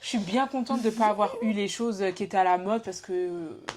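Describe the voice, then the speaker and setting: Over noticeable background noise, a woman with a fairly high pitch speaks at a fairly quick pace with lively intonation and big swings in loudness. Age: 20s. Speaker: podcast host. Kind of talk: casual chat.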